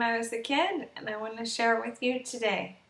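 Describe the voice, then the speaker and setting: A woman speaks with audible room echo. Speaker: storyteller. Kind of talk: bedtime story read aloud, scripted children's tale. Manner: slow, gentle, soft-spoken storytelling with long pauses. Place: home room. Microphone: webcam.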